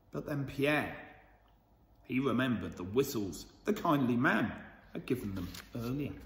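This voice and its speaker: With vocal fry and lively intonation, a man speaks with long, frequent pauses in a room with audible echo. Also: moderate pace. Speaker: school storyteller reading to children. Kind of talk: bedtime story reading aloud to children, with a warm, cosy storybook tone. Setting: video recorded for children, school channel. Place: hall. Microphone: phone near.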